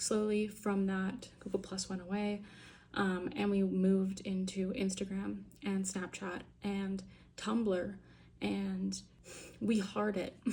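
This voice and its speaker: The pace is very slow. A woman speaks with audible room echo. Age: 20s. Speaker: vlogger. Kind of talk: casual monologue vlog. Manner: casual, filler-heavy.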